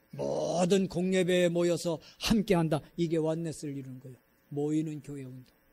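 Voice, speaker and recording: Speaking at a moderate pace, a man with a fairly high pitch keeps his intonation fairly even while his loudness swings widely. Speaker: pastor. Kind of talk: sermon. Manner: sharp intonation; blunt, direct delivery.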